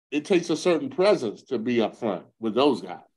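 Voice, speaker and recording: A man speaks with an American accent and vocal fry. His pitch swings very widely against a quiet background. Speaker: retired football player. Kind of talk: interview storytelling. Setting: podcast. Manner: animated.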